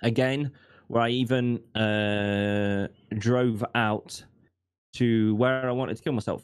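This man talks at a very slow pace. His pitch is medium and his intonation fairly even. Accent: British. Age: 20s. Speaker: streamer and accountability coach. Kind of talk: casual interview, personal testimony.

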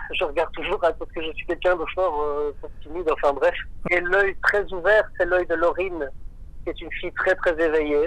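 A man's high, monotone, flat voice at a moderate pace with long, frequent pauses. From Belgium, Marchienne near Charleroi. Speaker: electronic music artist. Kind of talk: radio interview.

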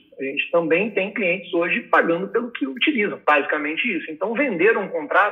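His voice sits high for a man. The intonation is lively throughout. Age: 20s. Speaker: business executive. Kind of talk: podcast interview.

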